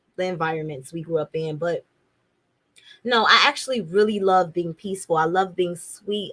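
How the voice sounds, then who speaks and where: This is a woman with an American accent. She has a plain, everyday voice. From Chicago. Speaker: podcast host. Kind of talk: casual monologue.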